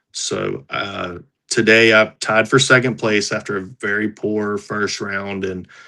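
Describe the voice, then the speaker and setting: Over a quiet background, a man with an American accent speaks at fairly low pitch in a bright, sharp tone. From North Carolina. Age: 40s. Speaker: professional disc golfer. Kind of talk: casual interview.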